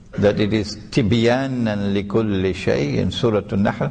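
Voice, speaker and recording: At a very slow pace, a man with a fairly low pitch talks in a space with audible room echo. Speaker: Islamic scholar and preacher. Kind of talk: religious lecture.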